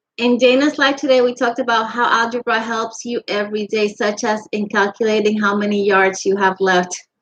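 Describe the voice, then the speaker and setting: Her pitch is fairly high and her intonation fairly even. The woman talks fairly quickly, with hardly any pauses. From Puerto Rico, then Virginia and Florida. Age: 50s. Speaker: crochet live streamer. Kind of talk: casual live stream chat with viewers.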